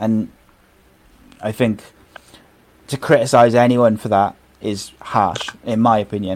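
A man with a Welsh accent speaks at medium pitch and a fairly slow pace, in a flat monotone with long, frequent pauses over noticeable background noise. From Wales. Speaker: podcast host. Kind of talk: casual chat.

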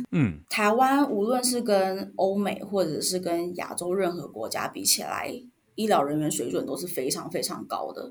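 A woman with a Taiwanese accent talks at medium pitch and a moderate pace, her voice showing vocal fry. Her pitch swings very widely, and there is audible room echo. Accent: Taiwanese Mandarin. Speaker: former respiratory therapist, product and marketing manager. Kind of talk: interview.

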